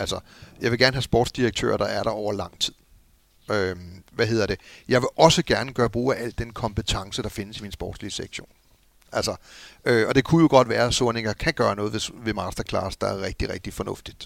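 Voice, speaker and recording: A man speaks at a medium pitch with vocal fry and ordinary pitch variation, recorded very cleanly against a silent background. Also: fairly quick pace. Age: middle-aged. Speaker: former football club executive. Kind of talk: casual chat. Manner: halting.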